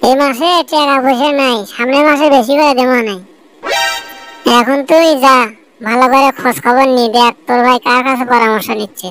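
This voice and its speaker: A woman's put-on character voice, high-pitched, at a moderate pace with faint music in the background. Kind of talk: village comedy skit. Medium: comedy sketch. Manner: bossy, scolding.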